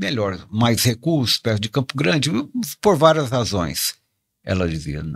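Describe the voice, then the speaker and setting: In a very clean recording with a silent background and a dry, close sound with no echo, a man speaks at a fairly slow pace in a medium pitch with very wide pitch swings. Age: 70s. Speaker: pastor and elder-care institute leader. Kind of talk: podcast interview. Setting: studio.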